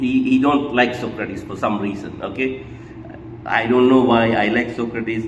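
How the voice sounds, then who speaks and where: Ordinary pitch variation from a man, heard through audible room echo amid noticeable background noise. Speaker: book discussion vlogger. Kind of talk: casual book commentary monologue. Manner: hesitant, many fillers and repetitions; mumbling.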